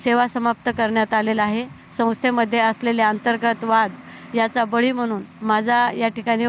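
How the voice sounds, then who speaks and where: A woman speaks at a fairly high pitch with monotone, flat intonation. Her loudness stays very even. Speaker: professor on hunger strike. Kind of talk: press statement.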